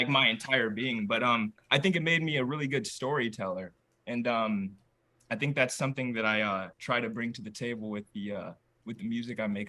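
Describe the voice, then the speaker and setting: A man with an American accent talks fairly quickly at a medium pitch, with ordinary pitch variation. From Iowa, US Midwest (Waterloo). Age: 20s. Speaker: musician. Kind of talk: casual chat. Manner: halting, filler-heavy.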